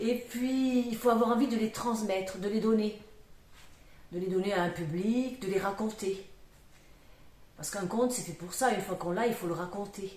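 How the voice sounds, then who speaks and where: A woman with a slight southwestern French accent speaks at a moderate pace, her fairly high pitch varying in an ordinary way, with long, frequent pauses. There is audible room echo and noticeable background noise. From southwest France, Aveyron. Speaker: storyteller. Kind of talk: interview conversation. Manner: hesitant, many fillers.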